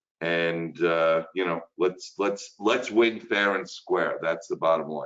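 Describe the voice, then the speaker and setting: A man with a Brooklyn accent speaks at a very slow pace. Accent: Brooklyn, New York. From Brooklyn, New York. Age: 60s. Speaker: insurance instructor. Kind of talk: webinar lecture. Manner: casual, chatty with fillers.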